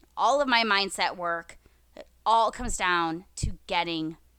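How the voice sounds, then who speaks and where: Speaking at a very slow pace, a woman with an American accent has a fairly low pitch, a bright, sharp tone and ordinary pitch variation, on a very clean recording with a silent background. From US Midwest, Minnesota. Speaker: author and speaker. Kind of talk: interview.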